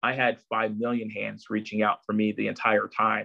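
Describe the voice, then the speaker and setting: Here a man speaks with an American accent. His pitch sits at a medium level. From Chesapeake, Virginia, US. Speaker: podcast guest, co-worker of host. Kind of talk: personal testimony.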